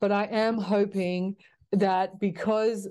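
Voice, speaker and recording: Over a quiet background, a woman with an Australian accent talks at a medium pitch in a dark, mellow tone with monotone, flat intonation. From Australia, Sydney. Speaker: basketball coach. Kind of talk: interview.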